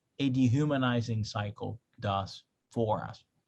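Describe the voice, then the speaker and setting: A man with a Spanish accent speaks at a medium pitch, his voice somewhat breathy. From Spanish-speaking country, moved to US at 13. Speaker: pastor. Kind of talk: online class lecture. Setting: video call. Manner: conversational, with frequent fillers.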